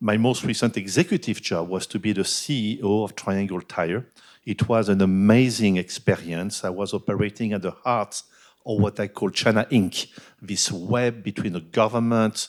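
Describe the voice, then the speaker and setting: A man speaks at a moderate pace in a fairly low pitch, with a French accent. The recording is very clean, with a silent background. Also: ordinary pitch variation. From France. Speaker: business executive and board director. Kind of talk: keynote talk at a business forum.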